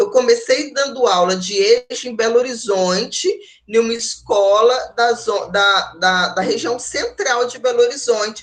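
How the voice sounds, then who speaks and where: A woman with a fairly high voice talks at a fairly slow pace with lively intonation. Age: 40s. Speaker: university lecturer in education. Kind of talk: online lecture. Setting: online class. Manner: halting, many fillers.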